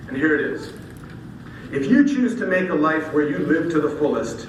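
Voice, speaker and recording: The speaker talks at a fairly quick pace with lively intonation. Audible room echo and noticeable background noise sit behind the voice. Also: man. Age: 60s. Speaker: keynote speaker and masters pole vaulter. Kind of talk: speech.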